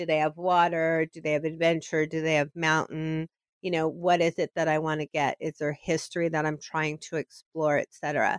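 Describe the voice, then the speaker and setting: Moderate pace, monotone, flat intonation and hardly any pauses, in a dry, close sound with no echo. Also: woman, very deep, low pitch for a woman. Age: 50s. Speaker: event planner and solo travel blogger. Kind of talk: interview.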